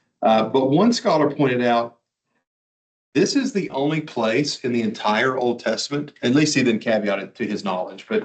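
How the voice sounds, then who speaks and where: A normal speaking voice from a man, medium in pitch, with lively intonation and a moderate pace. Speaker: Bible teacher. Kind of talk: lecture.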